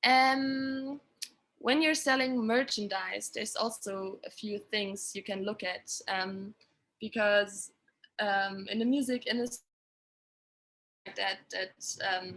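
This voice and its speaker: A woman with a German accent and fairly high pitch, at a very slow pace with long, frequent pauses. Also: ordinary pitch variation. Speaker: sustainability consultant for music touring. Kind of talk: webinar presentation. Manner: halting, many fillers.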